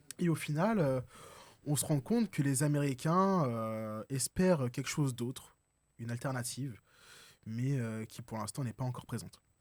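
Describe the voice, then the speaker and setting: A man speaks at a moderate pace with a medium pitch and ordinary pitch variation, leaving long, frequent pauses in a very clean recording with a silent background. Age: 20s. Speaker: young political activist. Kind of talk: political debate. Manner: hesitant, many fillers.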